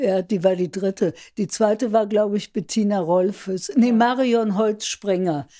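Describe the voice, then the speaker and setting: A woman's dark, mellow voice at medium pitch, fairly slow, with ordinary pitch variation, in a very clean recording with a silent background. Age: 80s+. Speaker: writing workshop leader. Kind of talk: casual interview. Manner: hesitant, many fillers.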